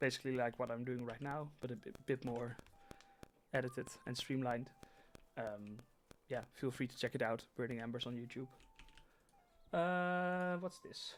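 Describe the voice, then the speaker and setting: With a Dutch accent, a man speaks at a moderate pace and a medium pitch, with ordinary pitch variation. He leaves long, frequent pauses while music plays in the background. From Netherlands. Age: 20s. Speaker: gaming streamer. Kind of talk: live gameplay stream. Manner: halting.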